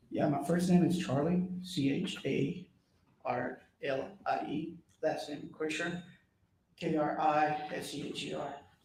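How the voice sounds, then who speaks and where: A man speaks at a fairly slow pace with fairly even intonation and a fairly high pitch. Audible room echo surrounds his voice. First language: Spanish. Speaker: police officer testifying as witness. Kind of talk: court testimony. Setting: courtroom.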